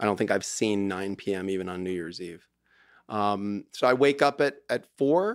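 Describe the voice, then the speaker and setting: A man with a plain, everyday voice speaks at a fairly low pitch and a moderate pace, with ordinary pitch variation, a quiet background and a dry sound with no echo. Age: 50s. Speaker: divorce lawyer. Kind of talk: casual chat. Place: studio. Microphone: studio mic.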